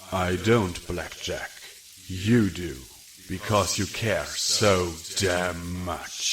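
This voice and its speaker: Against clear background noise, a man in a put-on character voice speaks very slowly at a very deep, low pitch. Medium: read story. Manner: soft-spoken, gentle.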